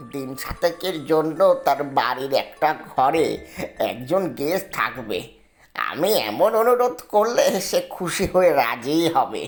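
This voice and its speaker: At a fairly slow pace, a female-sounding put-on character voice speaks at a middle pitch over faint music in the background. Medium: read story. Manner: chatty, repetitive.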